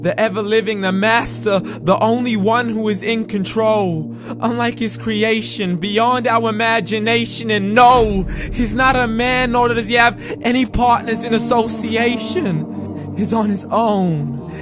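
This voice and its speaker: Music plays in the background as a man speaks. His voice is high-pitched and his pace fairly slow. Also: fairly even intonation. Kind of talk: spoken word poetry, religious reminder. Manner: rhythmic, rhyming delivery.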